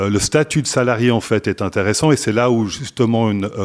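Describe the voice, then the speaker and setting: A fairly low-pitched man talks at a moderate pace. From Switzerland (French-speaking). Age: 50s. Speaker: staffing company executive. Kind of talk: interview. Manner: hesitant with fillers and repetitions.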